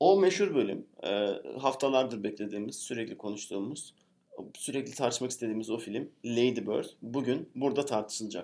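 Here is a man with an unremarkable speaking voice and a medium pitch. He talks at a moderate pace with lively intonation. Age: 30s. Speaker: podcast co-host. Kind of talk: casual chat.

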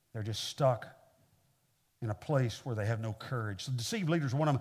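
A man speaks with an American accent at medium pitch and ordinary pitch variation. His voice is somewhat breathy in a very clean recording with a silent background. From Kansas City, Missouri, US Midwest. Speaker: pastor, guest preacher. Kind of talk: sermon. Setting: church with audience.

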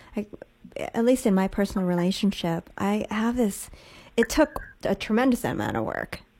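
Speaking at a moderate pace, a woman uses an ordinary speaking voice with medium pitch and ordinary pitch variation. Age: 40s. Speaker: radio host. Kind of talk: casual chat.

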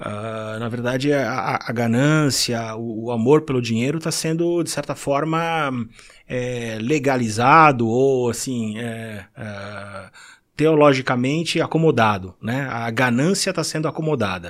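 A man speaks at a fairly slow pace in an unremarkable speaking voice, medium in pitch with ordinary pitch variation, on a very clean recording with a silent background. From Brazil, São Paulo city. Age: 50s. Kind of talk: casual chat.

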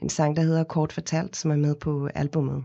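A woman's very deep, low pitch at a fairly slow pace. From South Africa, Cape Town. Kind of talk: interview. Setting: studio.

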